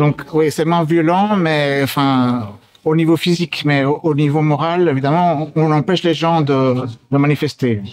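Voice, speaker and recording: In a normal speaking voice, a man with a fairly high pitch speaks at a fairly slow pace, with ordinary pitch variation and very even loudness. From Belgium. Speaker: activist. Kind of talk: street interview.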